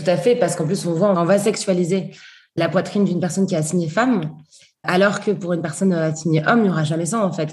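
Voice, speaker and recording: A somewhat breathy woman with a fairly low voice speaks very fast with fairly even intonation, and audible room echo surrounds her. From southern France. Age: 20s. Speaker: feminist activist and author. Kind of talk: interview.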